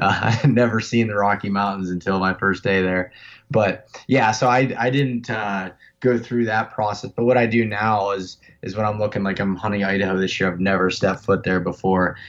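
Against a quiet background, a man with a Pennsylvania accent speaks fairly quickly at a fairly low pitch with fairly even intonation. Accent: Pennsylvania American. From North Central Pennsylvania. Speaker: elk hunter. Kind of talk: casual interview. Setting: phone call.

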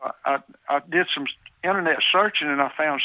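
Talking at a fairly quick pace, a man with a Southern US accent has a fairly high pitch. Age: 70s. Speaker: deer hunter. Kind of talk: interview.

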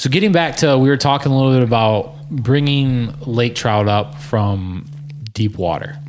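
With an American accent, a man speaks with lively intonation and very even loudness. Noticeable background noise is present. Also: medium pitch for a man, moderate pace. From southern Michigan. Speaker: podcast host. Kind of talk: casual chat.

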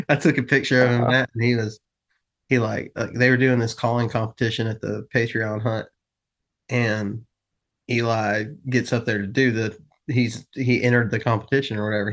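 Against a quiet background, a man speaks at a medium pitch and a fairly quick pace with monotone, flat intonation. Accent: Southern US. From US South. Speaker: hunting podcast host. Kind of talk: casual chat.

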